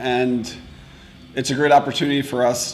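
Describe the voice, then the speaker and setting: Medium in pitch, a man speaks with monotone, flat intonation. There is audible room echo and noticeable background noise. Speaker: metal musician. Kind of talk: interview.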